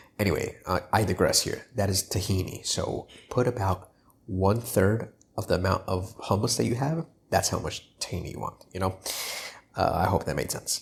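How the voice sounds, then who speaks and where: An unremarkable speaking voice from a man, fairly low in pitch, with ordinary pitch variation at a moderate pace. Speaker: cooking YouTuber. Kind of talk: cooking tutorial. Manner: casual, filler-heavy.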